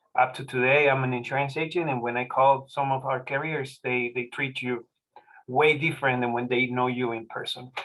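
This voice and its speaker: This man speaks with a Spanish accent at a medium pitch. His pace is fairly quick and his intonation is monotone and flat. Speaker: forum moderator, insurance agent. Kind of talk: moderating a forum. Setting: video call.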